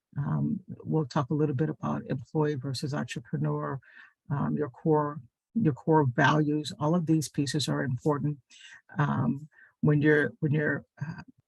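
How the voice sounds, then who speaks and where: With a dry, close sound and no echo, a man speaks in a fairly high, somewhat breathy voice at a fairly slow pace with fairly even intonation. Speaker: small business adviser. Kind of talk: webinar presentation. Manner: halting, many fillers.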